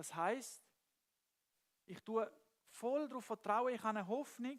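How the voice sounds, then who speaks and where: With a Swiss German accent, a man speaks at a fairly slow pace in an extremely high pitch, with ordinary pitch variation and big swings in loudness. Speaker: preacher. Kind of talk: church sermon.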